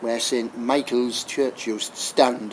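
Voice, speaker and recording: A man speaks at a very slow pace. Noticeable background noise can be heard. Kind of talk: local history talk.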